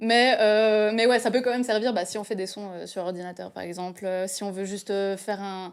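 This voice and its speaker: With an ordinary speaking voice, a woman speaks at a moderate pace and medium pitch, her intonation fairly even, her loudness swinging widely and hardly any pauses, on a very clean recording with a silent background. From French-speaking Switzerland. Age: 20s. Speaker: photo model and stylist. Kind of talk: casual chat. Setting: studio.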